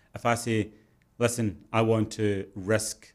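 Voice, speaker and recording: This man has a fairly low pitch. He talks at a moderate pace. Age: 40s. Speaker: entrepreneur. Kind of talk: interview.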